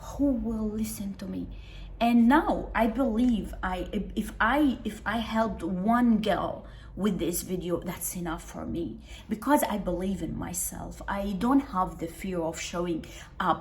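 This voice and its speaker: A woman at a fairly slow pace with ordinary pitch variation, audible room echo and noticeable background noise. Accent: non-native. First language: not English. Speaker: self-help video creator. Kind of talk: casual monologue to camera. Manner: halting, many restarts and fillers.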